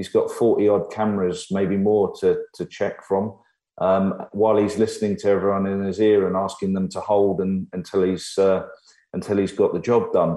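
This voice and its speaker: With an English accent, a man speaks at a moderate pace against a quiet background. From Ireland. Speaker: former F1 team manager. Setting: video call.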